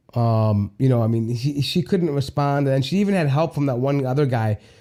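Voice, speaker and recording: At a medium pitch and a fairly quick pace, a man speaks in a dark, mellow tone. The recording is very clean, with a silent background. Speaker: livestream show host. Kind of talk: live stream chat reading viewer comments. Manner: halting, many fillers.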